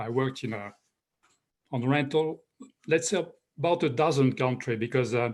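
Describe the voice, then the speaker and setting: A man with a French accent and a fairly high pitch is heard in a very clean recording with a silent background. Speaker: professor, rental housing expert. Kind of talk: panel discussion. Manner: halting.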